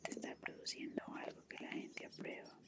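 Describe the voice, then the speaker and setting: Someone whispers over noticeable background noise. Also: woman. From Colombia. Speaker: ASMR content creator. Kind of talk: whispered ASMR book reading for sleep. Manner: whispered, soft, slow.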